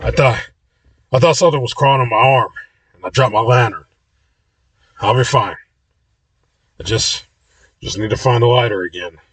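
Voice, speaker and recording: A man puts on a character voice, raspy and medium in pitch, with ordinary pitch variation. He goes at a fairly quick pace but leaves long, frequent pauses. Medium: read story. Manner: jittery.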